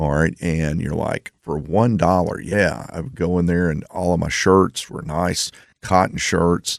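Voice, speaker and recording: A man's very deep, low voice moves at a fairly slow pace. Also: ordinary pitch variation. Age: 60s. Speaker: radio host and financial advisor. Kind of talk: radio talk show monologue. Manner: casual, conversational.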